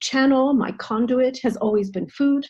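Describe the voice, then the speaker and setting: The voice belongs to a woman, somewhat breathy. She has an American accent. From United States. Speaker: nutritional therapist and intercultural trainer. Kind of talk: online presentation. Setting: video call.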